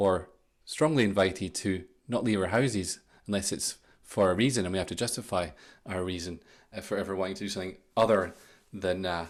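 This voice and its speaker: Very deep and low in pitch, a man speaks at a fairly quick pace with ordinary pitch variation and long, frequent pauses, on a very clean recording with a silent background. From Scotland. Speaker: podcast host, mind coach. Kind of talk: solo podcast talk. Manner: conversational, casual.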